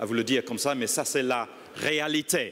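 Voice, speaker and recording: This man's voice sits fairly high in pitch. His pitch varies in an ordinary way. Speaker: industry association executive. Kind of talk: conference speech. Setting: conference stage with audience. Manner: halting, many hesitations.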